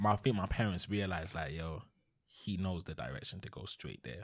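A man speaks with a London accent at a moderate pace. The recording is very clean, with a silent background. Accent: London Multicultural English. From East London. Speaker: podcast co-host. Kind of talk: casual chat.

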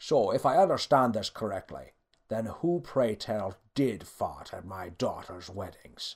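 In a put-on character voice, a man growls at a fairly low pitch and a fairly slow pace, with lively intonation and a slightly husky edge.

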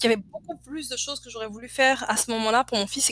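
A bright, sharp tone moves at a very fast pace in a dry, close sound with no echo. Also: woman. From Côte d'Ivoire. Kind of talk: casual interview.

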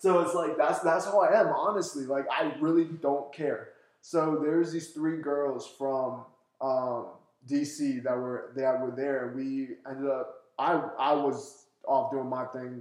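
A man with an American accent and a fairly high pitch speaks at a fairly slow pace with fairly even intonation amid audible room echo. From US East Coast. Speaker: actor. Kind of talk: casual chat.

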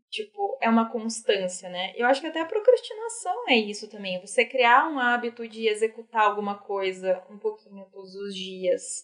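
A woman speaks in a normal speaking voice at a fairly high pitch and moderate pace, with ordinary pitch variation and hardly any pauses. Her loudness swings widely. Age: 20s. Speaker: financial consultant. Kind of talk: casual chat.

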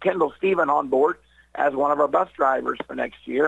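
Pitched fairly high, a man speaks with vocal fry at a moderate pace. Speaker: school superintendent. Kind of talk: radio interview.

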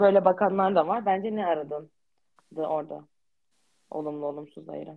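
A woman speaks at a moderate pace with a very deep, low pitch, leaving long, frequent pauses while her loudness swings widely. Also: ordinary pitch variation. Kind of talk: casual chat.

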